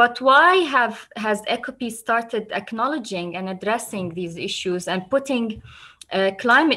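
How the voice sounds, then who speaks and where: Against a quiet background, a woman speaks at a moderate pace in a bright, sharp tone with ordinary pitch variation. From Palestine. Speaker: environmental NGO director. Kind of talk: presentation. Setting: video call. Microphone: webcam.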